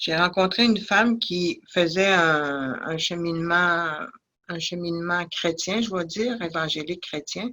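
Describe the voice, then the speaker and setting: Her pace is very slow. The woman's fairly low voice has a bright, sharp tone and ordinary pitch variation. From Innu community, Côte-Nord, Quebec. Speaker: addiction counsellor. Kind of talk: testimony. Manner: halting, many hesitations.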